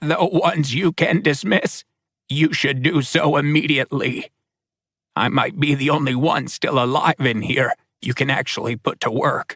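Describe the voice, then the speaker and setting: A man uses a raspy, put-on character voice at a fairly high pitch. His pace is moderate. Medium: read story. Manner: matter-of-fact, blunt.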